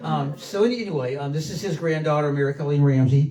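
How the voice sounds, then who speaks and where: Over noticeable background noise, a man speaks at a very fast pace in a fairly high pitch. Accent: South Carolina. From South Carolina coast. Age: 60s. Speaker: local history speaker, son of former mayor. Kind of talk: public talk. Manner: halting, many fillers.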